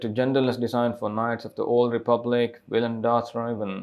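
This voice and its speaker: A man with a non-native accent. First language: not English. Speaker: YouTube commentator. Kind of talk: news commentary, reading an article aloud. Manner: halting, stumbles over words while reading.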